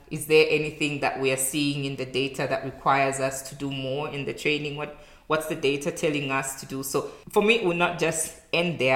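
A woman's very deep, low voice at a moderate pace, amid noticeable background noise and audible room echo. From Zambia. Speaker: public health specialist. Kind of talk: interview. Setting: in-person recording.

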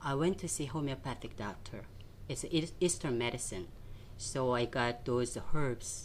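Her pitch very deep and low, a woman speaks with a Korean accent. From South Korea, Seoul. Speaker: nutrition and fitness coach. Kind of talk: interview. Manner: animated.

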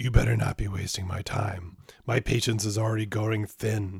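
A moderate pace and fairly low pitch in a man's put-on character voice. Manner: impatient, threatening.

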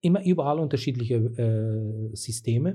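His intonation is lively. The man's voice carries a somewhat breathy quality. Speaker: community activist, local politician. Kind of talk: interview. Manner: halting.

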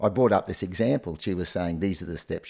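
On a very clean recording with a silent background, a man with an Australian accent speaks in a very deep, low pitch with a dark, mellow tone. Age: 60s. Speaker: retired primary school teacher. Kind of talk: casual chat.

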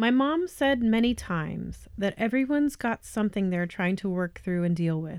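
In a General American accent, a woman uses a normal speaking voice at a medium pitch, with lively intonation and hardly any pauses, on a very clean recording with a silent background. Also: moderate pace. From Colorado, US. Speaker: podcast host. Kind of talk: scripted narration.

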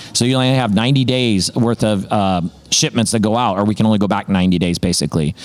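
Against noticeable background noise, a man with a fairly low pitch talks at a fairly quick pace, keeping very even loudness and ordinary pitch variation. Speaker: sponsor company representative. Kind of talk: casual interview chat. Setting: in person at event.

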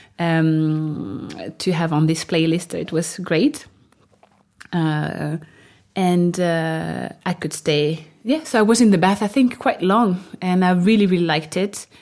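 Speaking very slowly in a French accent, a woman keeps a fairly low pitch with ordinary pitch variation. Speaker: new mother sharing birth story. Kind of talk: interview storytelling. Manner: halting, many fillers.

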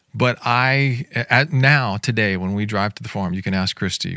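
A man talks with an ordinary speaking voice at a fairly low pitch. His pitch varies in an ordinary way. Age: 50s. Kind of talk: podcast discussion.

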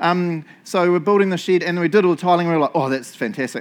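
This man has a New Zealand accent and an animated tone. He talks at a very fast pace. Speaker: pastor. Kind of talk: sermon. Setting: church.

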